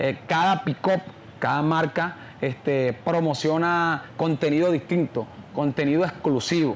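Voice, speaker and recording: With a Colombian Caribbean accent, a man speaks at a fairly slow pace in a fairly high pitch, his intonation fairly even over light background noise. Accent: Colombian Caribbean coastal Spanish. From Colombian Caribbean coast, San Onofre, Sucre. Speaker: champeta singer; interviewee. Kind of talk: interview. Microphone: lapel.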